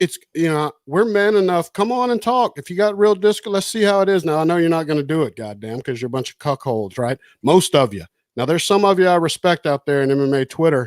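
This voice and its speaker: In a very clean recording with a silent background and a dry, close sound with no echo, a man with a fairly high pitch speaks with lively intonation. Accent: Southern US. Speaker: podcast host. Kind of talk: casual chat.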